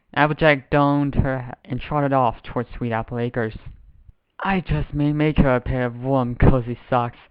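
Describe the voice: This is plain reading aloud, the intonation staying fairly flat.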